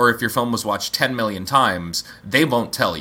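The intonation is lively. Noticeable background noise can be heard. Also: man. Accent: American. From Montana and Pennsylvania, US. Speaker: film director. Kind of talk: casual interview chat.

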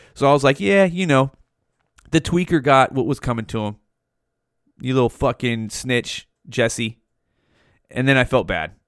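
An animated man with an American accent at a medium pitch and moderate pace, with lively intonation and long, frequent pauses. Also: dry, close sound with no echo. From Modesto, California. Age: 40s. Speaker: podcast host. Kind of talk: casual monologue. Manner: halting.

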